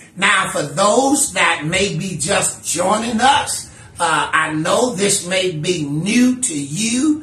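Music plays in the background as a man speaks at a very slow pace in a raised, projected voice. Room echo is audible. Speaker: minister teaching Bible study. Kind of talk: lecture. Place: home room. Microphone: camera far.

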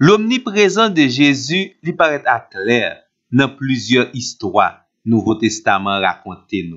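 A man with a Haitian accent speaks very slowly at a medium pitch, his voice swinging very widely up and down. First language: Haitian Creole (speaking French). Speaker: Bible teacher. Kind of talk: scripted Bible teaching.

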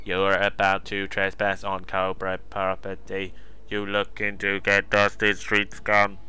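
A man uses a put-on character voice with a fairly low pitch. He speaks at a fairly slow pace. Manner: sneering, contemptuous.

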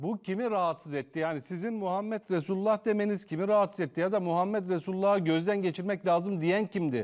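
A man speaks with a high pitch and ordinary pitch variation. He hardly pauses at all, over a quiet background. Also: fairly quick pace. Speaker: TV talk show host; TV host. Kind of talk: live TV interview. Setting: TV studio. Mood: calm, polite, probing. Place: studio. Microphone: lapel.

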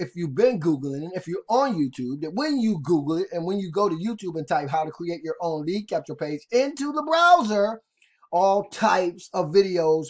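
A man talks at a high pitch. His pace is moderate. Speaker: online marketing video tutorial host. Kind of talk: casual, energetic sales pitch addressing viewers as guys.

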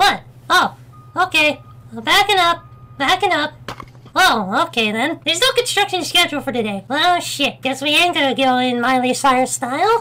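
A put-on character voice, high in pitch. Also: moderate pace. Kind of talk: lets-play commentary. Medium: virtual streamer. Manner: excited, chatty, casual.

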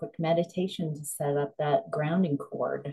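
A woman speaks in a very deep, low voice with a dark, mellow, gentle tone. Her pitch varies in an ordinary way against a quiet background. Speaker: psychic and spiritual coach. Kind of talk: slow guided grounding meditation with visualization cues. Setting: solo video recording. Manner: soothing, unhurried, flowing run-on phrasing; gentle with frequent um and uh fillers. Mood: calm, gentle. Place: home room. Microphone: webcam.

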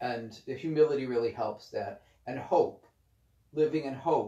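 In a room with audible echo and a quiet background, a man talks at a very slow pace, his dark, mellow tone somewhat breathy, with ordinary pitch variation. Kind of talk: spiritual reading with commentary. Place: home room. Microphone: camera far.

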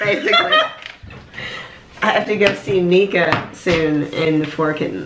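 Speech comes at a fairly slow pace with long, frequent pauses over loud background noise. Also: woman, fairly low pitch for a woman, ordinary pitch variation. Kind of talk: casual talk to camera. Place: home room. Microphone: camera far.

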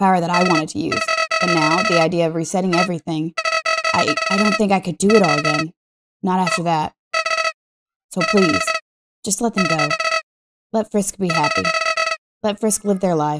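At a moderate pace, someone uses a put-on character voice pitched in the middle range. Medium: game stream. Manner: pleading, wistful.

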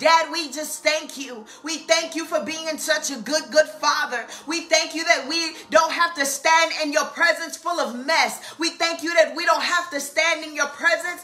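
The voice is raised and projected, with fairly even intonation. It moves at a moderate pace. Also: woman. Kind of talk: fervent live-stream prayer. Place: home room. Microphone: webcam.

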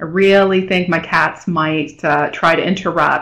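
A woman talks fairly slowly, her intonation fairly even, with a quiet background behind her. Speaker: presenter. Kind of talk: webinar presentation. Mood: friendly, self-deprecating. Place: home room. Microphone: video call.

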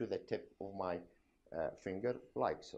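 Speaking with an Arabic accent and vocal fry, a man goes at a fairly slow pace. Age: old. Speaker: doctor, medical professor. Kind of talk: medical examination demonstration.

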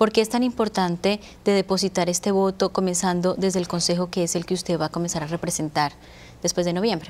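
The speaker is a woman with a medium pitch. She talks at a very fast pace with fairly even intonation. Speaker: TV talk show host. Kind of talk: TV interview panel. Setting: studio. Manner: formal. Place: studio. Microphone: lapel.

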